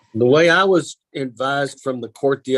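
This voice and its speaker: This man has a strong Kentucky accent and a medium pitch. His pitch varies in an ordinary way, and the sound is dry and close with no echo. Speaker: county attorney. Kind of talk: public meeting discussion. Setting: teleconference meeting.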